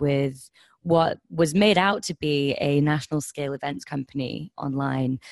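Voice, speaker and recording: The sound is dry and close, with no echo. A woman with a slight southern English accent speaks fairly slowly in a very deep, low voice. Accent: slightly southern English, like Kent. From Highlands of Scotland, moved there aged seven. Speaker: social enterprise co-founder. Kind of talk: interview.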